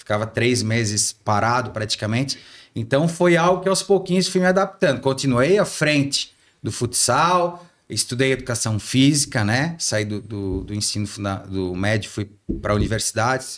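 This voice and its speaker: Against a silent background in a very clean recording, a man of medium pitch speaks at a moderate pace with very wide pitch swings. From Santa Catarina, Brazil (Ascurra, Vale do Itajaí). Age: 40s. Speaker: former city councillor and PE teacher. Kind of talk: podcast interview. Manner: hesitant, many fillers.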